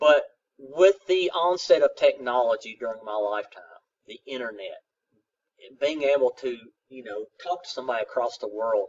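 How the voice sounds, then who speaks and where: Long, frequent pauses and big swings in loudness mark a man's speech in a strong Southern US accent. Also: moderate pace. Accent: thick Southern. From South Central Kentucky, US. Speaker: college geography instructor. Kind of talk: recorded lecture. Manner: casual, hesitant with fillers.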